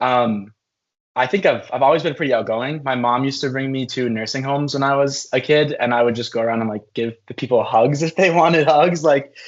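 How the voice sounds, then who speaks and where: A man talks at a fairly quick pace. His voice sits at medium pitch with ordinary variation. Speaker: university student leader. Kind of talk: interview. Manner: loud.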